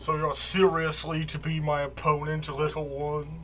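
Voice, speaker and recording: Putting on a character voice, a man speaks at a fairly high pitch and moderate pace over clear background noise. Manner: mocking.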